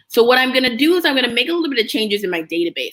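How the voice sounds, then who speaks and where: A woman with a bright, sharp tone. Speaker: app business educator, livestreamer. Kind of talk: live screen-share tutorial. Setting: live stream. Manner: casual, conversational; fast.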